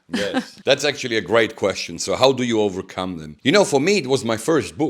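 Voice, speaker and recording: A man with an Italian accent speaks in a medium-pitched voice with very wide pitch swings. The recording is very clean, with a silent background. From Italy. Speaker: pastor and author. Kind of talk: interview.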